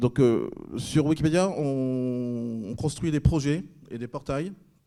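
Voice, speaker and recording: A man speaks in a dark, mellow tone at a medium pitch, with ordinary pitch variation. The recording is very clean, with a silent background. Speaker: librarian workshop leader. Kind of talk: workshop presentation. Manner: fast; hesitant, many fillers.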